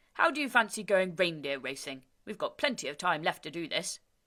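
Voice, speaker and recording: A female-sounding voice puts on a booming character voice at a middle pitch. It moves at a fairly quick pace on a very clean recording with a silent background. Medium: read story. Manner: jolly, easygoing.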